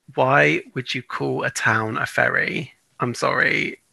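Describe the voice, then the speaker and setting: A man with a British accent, dry and close with no echo. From UK. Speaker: podcast co-host. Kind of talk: casual chat.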